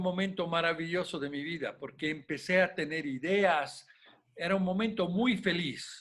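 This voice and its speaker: The man speaks at a high pitch with ordinary pitch variation and a fairly slow pace. The recording is very clean with a silent background. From Italy, Rome. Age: 80s+. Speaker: glass artist. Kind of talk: interview. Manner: halting.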